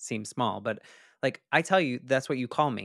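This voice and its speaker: An unremarkable speaking voice, a man's at medium pitch with ordinary variation, comes through a very clean recording with a silent background and a dry, close sound with no echo. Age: 40s. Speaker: podcast host. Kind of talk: interview.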